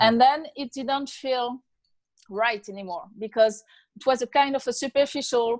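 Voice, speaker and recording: A woman with a French accent speaks at a fairly slow pace in a high pitch with ordinary pitch variation, recorded very cleanly against a silent background. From France. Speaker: author. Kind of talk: interview. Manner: halting.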